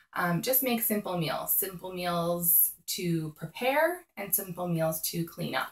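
There is audible room echo as a woman speaks. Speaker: mom lifestyle vlogger. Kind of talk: casual vlog tips. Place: home room. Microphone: phone near.

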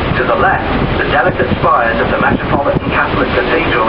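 Loud background noise under a man talking at a fairly quick pace. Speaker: ferry tour commentator. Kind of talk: guided tour commentary. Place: boat.

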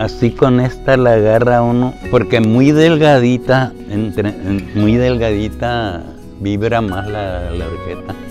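Clear music plays behind a man with a fairly low pitch. His loudness swings widely, and the sound is dry with no echo. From northern Mexico. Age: 80s+. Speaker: water diviner. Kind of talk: interview answer. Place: home room. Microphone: lapel.

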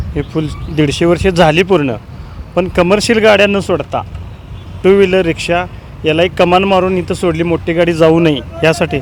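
A man with a high-pitched voice speaks in a fairly even intonation over noticeable background noise. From Kolhapur, Maharashtra, India. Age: 30s. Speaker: local resident. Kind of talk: street interview. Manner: halting.

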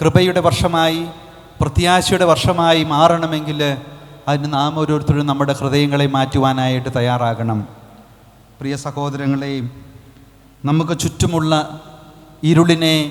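This man has an unremarkable speaking voice and a fairly high pitch. His intonation stays fairly even. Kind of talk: homily.

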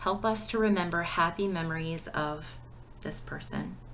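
Light background noise sits behind a woman with a gentle, warm tone. She speaks fairly slowly with ordinary pitch variation. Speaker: pastor leading devotion. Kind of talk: devotional video: book review with read-out prayers; fervent prayer, read aloud with warm sincerity. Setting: recorded video. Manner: gentle, warm, sincere, unhurried; conversational, with filler words. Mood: calm, gentle, devotional. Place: home room. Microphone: webcam.

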